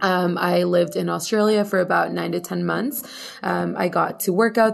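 A woman is heard over noticeable background noise. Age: 20s. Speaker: podcast co-host. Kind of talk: casual chat. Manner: animated.

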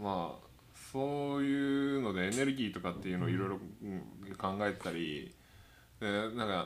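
A man talks at a moderate pace in a fairly low pitch, with lively intonation. Long, frequent pauses come through amid audible room echo. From Tokyo, Japan. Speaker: podcast co-host. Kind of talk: casual chat.

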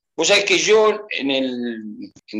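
A man's fairly high-pitched voice, bright and sharp in tone, with very wide pitch swings. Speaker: football fan. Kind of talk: casual chat. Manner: animated.

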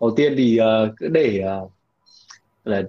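A man speaks at a medium pitch. The tone of his voice is dark and mellow. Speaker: podcast host. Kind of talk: casual chat.

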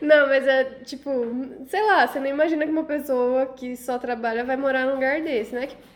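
Amid noticeable background noise, a woman speaks at a moderate pace in a high pitch, her intonation fairly even but her loudness swinging widely. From Rondônia, Brazil. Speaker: podcast host. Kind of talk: casual chat.

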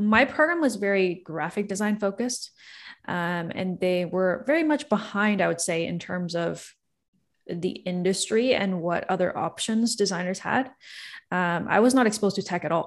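A woman with a plain, everyday voice and a Canadian accent, at a medium pitch and moderate pace, with lively intonation and a quiet background. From Toronto, Canada. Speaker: startup founder and CEO. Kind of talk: casual interview.

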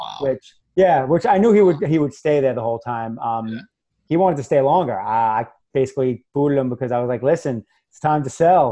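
Speaking with a New York accent, a man moves at a fairly quick pace. His tone is dark and mellow, and his loudness swings widely. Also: medium pitch for a man, ordinary pitch variation. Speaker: real estate investor and crypto radio host. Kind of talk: casual chat.

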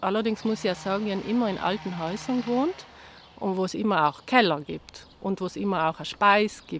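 A woman talks in a normal speaking voice. Her pitch is medium, with ordinary pitch variation. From South Tyrol, Italy (Bassa Atesina). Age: 50s. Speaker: herbalist and self-sufficiency gardener. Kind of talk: interview conversation. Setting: outdoors in a garden.

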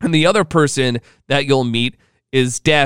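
Recorded very cleanly against a silent background with a dry, close sound and no echo, a man talks at a fairly slow pace in an ordinary speaking voice, his pitch medium with ordinary variation. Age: 30s. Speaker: podcast host and radio host. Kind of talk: casual solo monologue.

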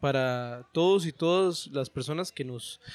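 A man uses a normal speaking voice, fairly high in pitch, with ordinary pitch variation. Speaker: founder of a literary workshop. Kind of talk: casual chat.

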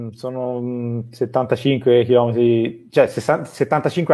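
A man's medium-pitched voice, dark and mellow in tone, on a very clean recording with a silent background. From Tuscany, Italy. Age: 30s. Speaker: company manager and online business student. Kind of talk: interview on a live stream.

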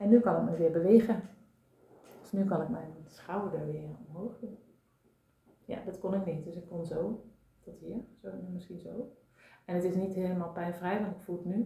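A woman of medium pitch has a dark, mellow tone with vocal fry and big swings in loudness. Long, frequent pauses break up her speech, and audible room echo surrounds it. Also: fairly even intonation, moderate pace. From Brabant, Netherlands. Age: 40s. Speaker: systemic coach and therapist. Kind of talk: casual chat. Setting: at a kitchen table.

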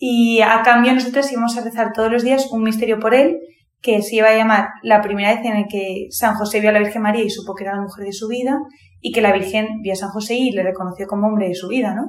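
This female speaker goes at a very fast pace. She has a fairly high pitch. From Madrid, Spain. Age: 20s. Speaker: university student. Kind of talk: testimony. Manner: animated.

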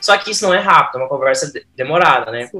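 A man uses a raised, projected voice. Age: 30s. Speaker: cooperative professional. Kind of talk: interview.

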